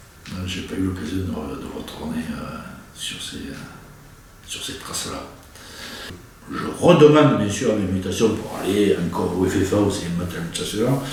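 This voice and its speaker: In a room with audible echo and noticeable background noise, a man with a very deep, low pitch speaks at a fairly slow pace with lively intonation, big swings in loudness, and long, frequent pauses. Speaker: war veteran. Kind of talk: interview. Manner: hesitant, many fillers.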